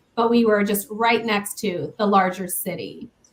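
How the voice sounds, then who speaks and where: A woman's fairly high voice with a slight Southern US accent, ordinary pitch variation and a fairly slow pace. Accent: slight Southern twang. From US Midwest, Council Bluffs, Iowa. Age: 50s. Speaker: paranormal investigator. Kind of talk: casual chat.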